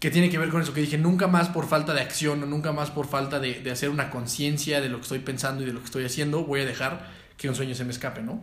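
Rushing at a very fast pace with hardly any pauses, a man speaks in a fairly high, somewhat breathy voice with fairly even intonation amid audible room echo. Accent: Mexican. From Mexico. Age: 20s. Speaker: entrepreneur and former pro footballer. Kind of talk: casual interview chat.

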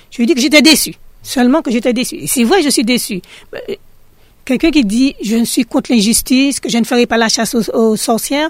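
Speaking at a fairly quick pace, a woman has a high pitch and ordinary pitch variation. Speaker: local resident. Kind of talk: radio testimony.

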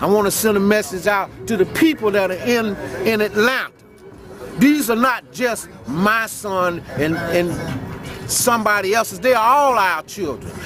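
Crowd noise in the background and a man speaking at a high pitch and a fairly slow pace. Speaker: activist. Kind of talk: rally speech, personal testimony. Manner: earnest, determined.

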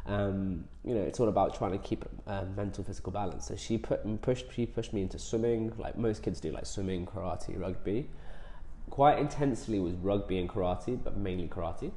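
A man's fairly low, somewhat breathy voice with a dark, mellow tone, ordinary pitch variation and a fairly quick pace, plus audible room echo. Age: 20s. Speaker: dentist and bodybuilder. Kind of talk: interview.

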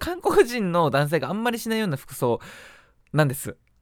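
Heard dry and close, the man's voice has no echo at all. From Japan. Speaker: podcast host. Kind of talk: casual solo talk.

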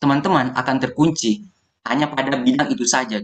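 Moving at a moderate pace, a man talks in a fairly high voice. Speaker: university student, foundation founder. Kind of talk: podcast interview.

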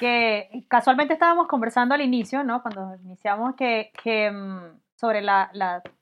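A woman's fairly high-pitched voice at a moderate pace, with ordinary pitch variation. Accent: Venezuelan. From Venezuela, Barinas. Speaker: mathematics professor, physicist. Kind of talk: casual science chat.

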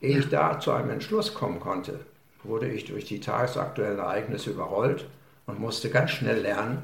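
Noticeable background noise and audible room echo around a male speaker. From western Germany, Münsterland and Ruhr area (Lünen). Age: 70s. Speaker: village mayor, retired army officer. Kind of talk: interview.

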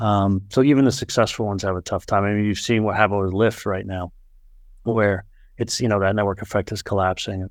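A man with a plain, everyday voice and an American accent speaks at a fairly quick pace, his pitch fairly low and his intonation fairly even. The recording is very clean with a silent background. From US Northeast, Boston area. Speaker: venture capital investor. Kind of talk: casual chat.

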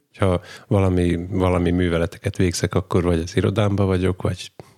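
A man's very deep, low voice with monotone, flat intonation and a dry, close sound with no echo, on a very clean recording with a silent background. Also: very even loudness. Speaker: podcast host. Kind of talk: casual chat.

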